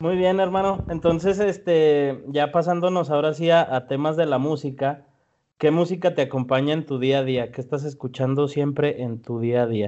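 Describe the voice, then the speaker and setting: A man with a Mexican accent, at a moderate pace and with ordinary pitch variation. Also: fairly high pitch for a man. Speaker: podcast host. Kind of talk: casual chat.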